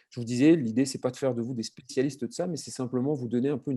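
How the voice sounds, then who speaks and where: Here a man speaks with a dark, mellow tone. His voice is fairly high, with ordinary pitch variation. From southern France. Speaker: marketing consultant. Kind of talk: webinar presentation. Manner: fast; hesitant, many fillers.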